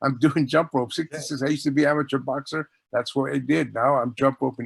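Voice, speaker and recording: In an ordinary speaking voice, a man talks at a fairly quick pace and medium pitch with fairly even intonation, the sound dry and close with no echo. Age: 60s. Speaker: author. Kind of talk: casual chat.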